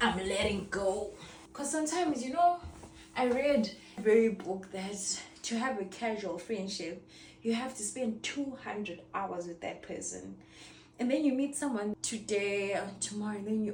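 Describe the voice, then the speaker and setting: Amid noticeable background noise and audible room echo, a woman speaks at medium pitch. Her pace is moderate and her intonation lively. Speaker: lifestyle vlogger. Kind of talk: casual chat while cleaning. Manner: quiet.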